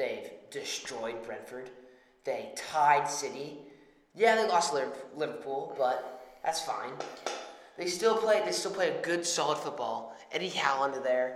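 A man with an American accent talks at a fairly slow pace, his pitch fairly high and his intonation lively. Long, frequent pauses break up his speech over noticeable background noise. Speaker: podcast co-host. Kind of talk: casual banter about football and betting picks.

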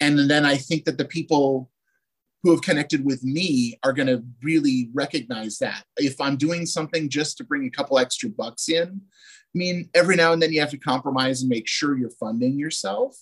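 With an unremarkable speaking voice, a man talks at a fairly quick pace with a fairly high pitch and ordinary pitch variation. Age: 40s. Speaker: trading card producer and former retoucher. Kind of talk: casual interview chat.

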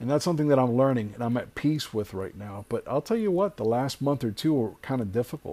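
In an American accent, a man with a dark, mellow tone and medium pitch uses lively intonation on a very clean recording with a silent background. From South Florida, Hialeah. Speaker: podcast host and web series creator. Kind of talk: solo podcast monologue. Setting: home driveway.

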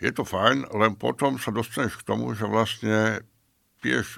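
A man's bright, sharp voice with vocal fry, fairly low in pitch, with lively intonation at a moderate pace, on a very clean recording with a silent background. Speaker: beer taster. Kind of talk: casual chat.

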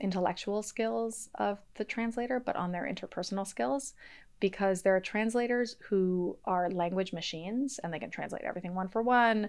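A woman with an American accent speaks at a medium pitch with ordinary pitch variation. Hers is a plain, everyday voice against a quiet background. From US Northeast, Boston area. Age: 30s. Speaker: history professor. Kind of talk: podcast interview.

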